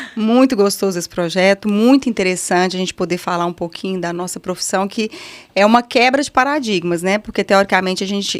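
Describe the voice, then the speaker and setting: Speaking in a Minas Gerais accent, a woman talks at a moderate pace and a medium pitch. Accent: Minas Gerais (mineiro). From Brazil, Minas Gerais (Patos de Minas). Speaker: physical education professional. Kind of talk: casual chat.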